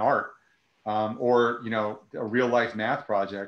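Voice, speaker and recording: The speaker has an American accent and monotone, flat intonation. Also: man. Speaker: nonprofit director, former teacher; guest. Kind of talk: casual interview on a live video call. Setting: video call. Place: home room. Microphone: earbuds.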